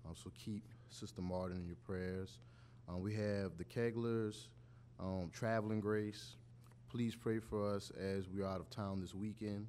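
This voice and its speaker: At a fairly slow pace with long, frequent pauses, a man speaks with a fairly low pitch, a dark, mellow tone and ordinary pitch variation. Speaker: church member leading scripture and prayer. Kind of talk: scripture reading and prayer. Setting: church.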